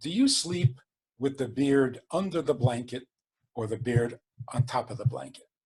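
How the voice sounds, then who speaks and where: At a moderate pace, a man talks in a medium pitch with a somewhat breathy voice. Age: 70s. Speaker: rabbi. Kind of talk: podcast interview.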